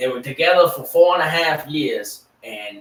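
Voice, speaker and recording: The speaker is a man. He talks with a Southern accent. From US South, Louisiana Cajun. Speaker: sports podcast host. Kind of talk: casual chat. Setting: live stream.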